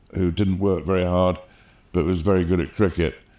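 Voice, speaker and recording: Speaking with a southern English accent, a man with a very deep, low pitch keeps his intonation fairly even. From England, London (born in the Midlands). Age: 60s. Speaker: mountaineering filmmaker and artist. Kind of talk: oral history interview. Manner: conversational with fillers.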